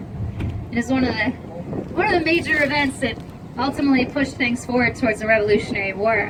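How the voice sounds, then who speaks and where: Someone with a Boston accent talks at a very fast pace, with noticeable background noise behind the voice. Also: woman. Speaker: tour guide. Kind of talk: guided tour narration. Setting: outdoors.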